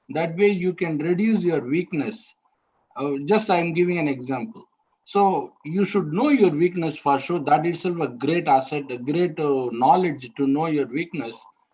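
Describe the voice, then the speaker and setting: A man with a Tamil accent speaks in a high pitch at a moderate pace, with ordinary pitch variation. His tone is dark and mellow, and the background is quiet. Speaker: alumnus mentor, interview trainer. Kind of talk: online training talk. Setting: webinar.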